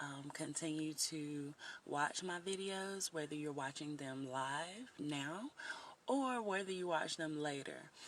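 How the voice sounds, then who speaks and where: A woman with a slight Southern US accent speaks very slowly in a very deep, low voice, her pitch varying in an ordinary way. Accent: a little country. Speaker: life coach vlogger. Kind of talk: motivational livestream talk. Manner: casual, chatty with fillers.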